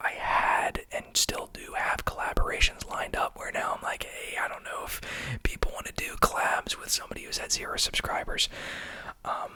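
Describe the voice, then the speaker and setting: A whispered voice comes through with noticeable noise in the background. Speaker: ASMR content creator. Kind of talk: whispered ASMR monologue. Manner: whispering; soft-spoken.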